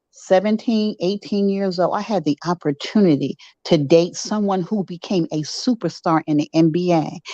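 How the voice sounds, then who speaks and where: A woman's medium-pitched voice, a plain, everyday voice, with a dry, close sound and no echo. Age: 60s. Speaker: caller. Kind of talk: live stream chat with host.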